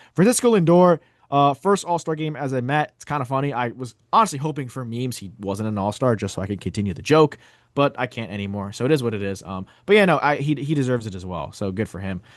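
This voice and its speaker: A man's medium-pitched voice at a very fast pace with very wide pitch swings, over a quiet background. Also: big swings in loudness. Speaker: sports podcast host. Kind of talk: casual chat. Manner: halting at times.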